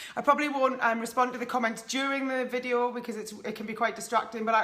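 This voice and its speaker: A high-pitched woman with a northeast English accent is heard with audible room echo and noticeable background noise. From northeast England. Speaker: life coach. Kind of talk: live stream talk to viewers. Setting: live video stream at home. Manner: casual, many fillers.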